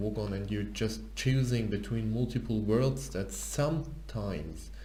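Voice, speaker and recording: Fairly slow male speech with a non-native accent, audible room echo and noticeable background noise. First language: not English. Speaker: programmer and tech YouTuber. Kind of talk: tutorial. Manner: halting.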